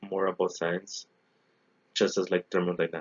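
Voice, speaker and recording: A man with a Spanish accent and monotone, flat intonation. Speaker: engineering graduate student. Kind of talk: recorded class presentation. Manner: halting, many self-corrections.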